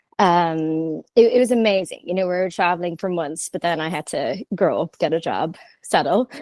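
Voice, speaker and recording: Recorded with a dry, close sound and no echo, a woman with an Irish accent talks at medium pitch and a moderate pace, with ordinary pitch variation. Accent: Irish, lasting. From Ireland. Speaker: merchandising company founder. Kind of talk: podcast interview.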